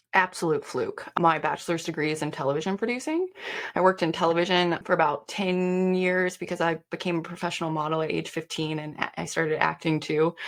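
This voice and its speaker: A woman speaks at a fairly quick pace and a fairly low pitch with fairly even intonation, over noticeable background noise. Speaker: performance coach. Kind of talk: interview. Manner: fast.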